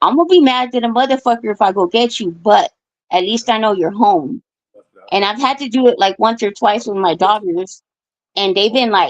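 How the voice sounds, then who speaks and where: A woman with an ordinary speaking voice, fairly high pitch, lively intonation and a moderate pace. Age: 40s. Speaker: caller on live stream open forum. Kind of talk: casual chat.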